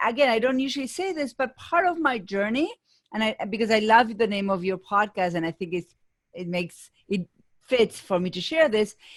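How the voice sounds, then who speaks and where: A woman speaks with an Argentine accent. Her pitch swings very widely. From Argentina, Buenos Aires. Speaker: business coach. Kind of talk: interview.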